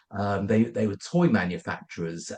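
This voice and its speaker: A fairly low-pitched man in a London accent. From London, England. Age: 50s. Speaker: company founder. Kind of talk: podcast interview. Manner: halting.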